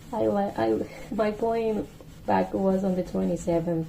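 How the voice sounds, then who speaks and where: Amid noticeable background noise, a woman with a Spanish accent speaks at a fairly low pitch and a fairly slow pace, her pitch swinging very widely. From Mexico. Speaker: podcast host. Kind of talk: casual monologue. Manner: casual, self-correcting.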